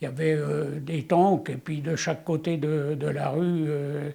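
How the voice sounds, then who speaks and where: Somewhat breathy and dark, mellow in tone, a man speaks at a fairly high pitch and a very slow pace with monotone, flat intonation. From France, Le Mans area (Sarthe). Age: 90s. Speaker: war witness. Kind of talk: testimony. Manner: halting, with many hesitations.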